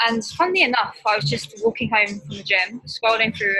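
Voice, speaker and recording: Music plays in the background behind a speaker with a British accent. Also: woman. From UK. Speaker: online nutrition coach. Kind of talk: podcast interview. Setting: remote call from a spa in Bali.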